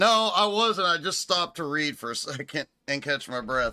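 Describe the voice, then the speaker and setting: In a very clean recording with a silent background, a man with an American accent speaks at a moderate pace in a high-pitched, bright, sharp tone, his pitch swinging very widely. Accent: Texas accent, stronger when angry. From Texas. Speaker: sim racing streamer. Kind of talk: live gameplay stream chat. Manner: casual, talkative.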